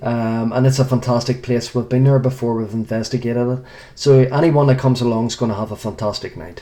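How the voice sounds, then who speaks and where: With an Irish accent, a man at medium pitch talks at a very fast pace, his intonation fairly even. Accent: Irish accent, noted by host. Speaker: paranormal investigator. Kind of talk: radio interview.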